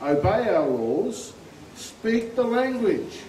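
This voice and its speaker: Speaking very slowly with very wide pitch swings, a man with an Australian accent is heard amid audible room echo and noticeable background noise. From far north Queensland, Australia. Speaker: army veteran, rally speaker. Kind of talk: political rally speech. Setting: outdoor rally with crowd.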